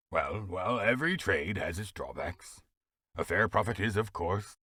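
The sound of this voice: Over a quiet background, the voice reads in an unforced way.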